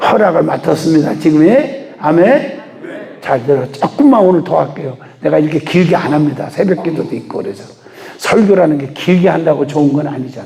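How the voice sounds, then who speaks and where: A man's fairly high-pitched voice comes through audible room echo and noticeable background noise. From Chungcheong, Korea. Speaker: revival preacher, pastor. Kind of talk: sermon. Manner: fast; clear articulation.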